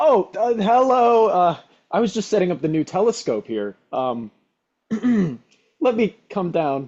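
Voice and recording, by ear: Putting on a character voice, a man speaks at a high pitch with big swings up and down. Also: fairly slow pace, slightly mellow tone.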